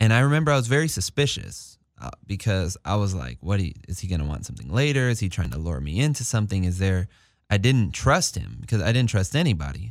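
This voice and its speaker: In a Californian accent, a man talks at a very fast pace. His fairly low voice swings very widely in pitch. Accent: Californian American English. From Los Angeles, San Fernando Valley. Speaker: community organizer and recording artist, formerly incarcerated. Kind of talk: interview.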